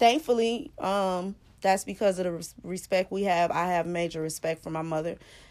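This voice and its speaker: On a very clean recording with a silent background, a woman with a medium pitch speaks at a moderate pace, her intonation lively and hardly any pauses. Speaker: podcast co-host, daughter. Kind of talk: casual chat.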